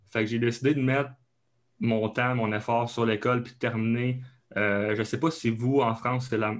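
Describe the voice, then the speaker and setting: A man with an Abitibi accent, medium in pitch, at a moderate pace with fairly even intonation. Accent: Québécois, Abitibi. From Quebec, Abitibi. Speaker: kinesiologist and strength coach. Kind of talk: podcast interview. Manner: hesitant, many fillers.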